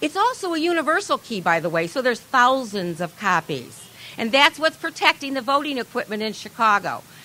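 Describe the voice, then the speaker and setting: With an American accent, a woman speaks at a high pitch and a fairly quick pace, her pitch swinging very widely, over noticeable background noise. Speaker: activist. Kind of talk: speech at a protest rally. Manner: fast; animated.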